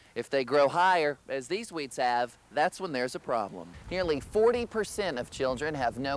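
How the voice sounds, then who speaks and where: A man with an ordinary speaking voice talks at a fairly quick pace and fairly high pitch. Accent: American. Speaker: news anchor and reporter intern. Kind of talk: TV news anchor read.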